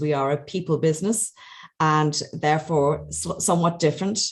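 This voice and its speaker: At a moderate pace and with fairly even intonation, a woman with an Irish accent speaks in a very deep, low pitch over a quiet background. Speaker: webinar moderator, health manager. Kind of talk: webinar moderation.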